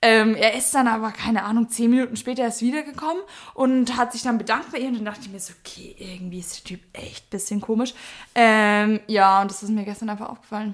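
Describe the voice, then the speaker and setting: Very fast female speech, fairly high in pitch, with ordinary pitch variation and big swings in loudness. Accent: Bavarian. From Bavaria, Germany. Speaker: podcast co-host. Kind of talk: casual chat. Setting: sitting on the floor at home.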